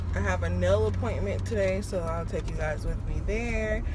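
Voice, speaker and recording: Loud background noise under a woman's dry voice with no echo. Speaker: vlogger. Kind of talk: casual vlog chat. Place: car. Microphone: phone near.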